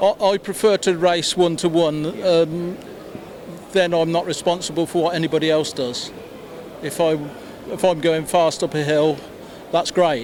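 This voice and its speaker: Speaking at a moderate pace with fairly even intonation, a man with a high pitch leaves long, frequent pauses over noticeable background noise. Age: 70s. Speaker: retired amateur motorsport competitor. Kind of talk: interview.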